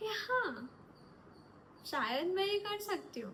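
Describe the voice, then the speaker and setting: A woman raises and projects her voice over noticeable background noise. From north India, Delhi and Nagpur. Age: 20s. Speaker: actor. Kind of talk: self-introduction monologue. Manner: casual, conversational.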